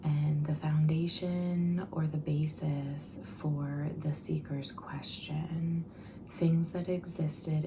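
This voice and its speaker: Someone soft-spoken talks at a very slow pace amid noticeable background noise. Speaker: ASMR tarot reader. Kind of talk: soft-spoken ASMR tarot reading to camera.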